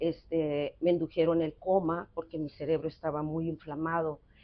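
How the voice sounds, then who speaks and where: Speaking fairly slowly, the woman has a fairly low pitch. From northwest Mexico (San Luis Río Colorado, Sonora). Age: 60s. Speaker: thanatologist psychotherapist. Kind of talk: interview conversation. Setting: café. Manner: hesitant, many fillers.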